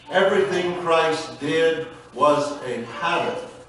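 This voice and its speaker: Strong room echo and noticeable background noise accompany a man whose pitch varies in an ordinary way. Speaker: pastor. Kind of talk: sermon. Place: church.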